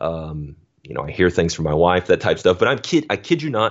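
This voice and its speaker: An American accent at a fairly quick pace with lively intonation. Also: man. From US South, Alabama. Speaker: futures trader. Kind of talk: interview conversation.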